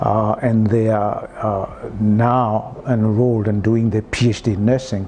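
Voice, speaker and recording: Over noticeable background noise, a man speaks at medium pitch in a monotone, flat intonation with very even loudness and hardly any pauses. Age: 60s. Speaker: health and wellness expert. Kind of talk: interview. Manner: halting, many fillers.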